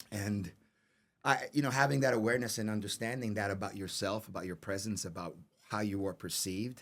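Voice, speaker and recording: Fairly quick speech from a man with a New York accent, fairly low in pitch with ordinary pitch variation, on a very clean recording with a silent background. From New York City. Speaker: actor. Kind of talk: interview. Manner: halting, repeats words.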